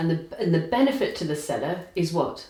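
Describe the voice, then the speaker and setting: Noticeable background noise sits behind a woman speaking at a moderate pace in a fairly low voice. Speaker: property investment educator, interviewer. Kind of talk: interview question.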